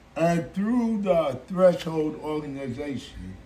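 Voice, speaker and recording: A man with an American accent, fairly high pitch and ordinary pitch variation, speaking at a fairly slow pace amid audible room echo. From Chicago, US Midwest. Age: 60s. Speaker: musical artist. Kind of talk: interview.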